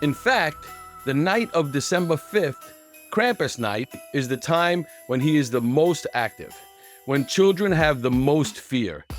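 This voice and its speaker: With music in the background, a man speaks fairly slowly in a fairly high voice with lively intonation. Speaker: YouTube host. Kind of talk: casual read-aloud of a holiday folklore book.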